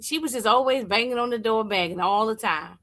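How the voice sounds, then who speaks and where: The voice has a bright, sharp and animated tone, captured in a very clean recording with a silent background. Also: woman. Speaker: movie reviewer. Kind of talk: casual review monologue.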